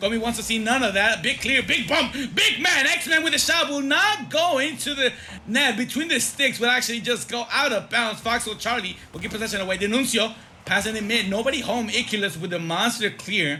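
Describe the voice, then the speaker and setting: A man's extremely high-pitched, raised and projected voice, animated in tone, with lively intonation, a fairly quick pace and noticeable background noise. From Mexico. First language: Spanish. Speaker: esports caster. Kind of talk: live commentary.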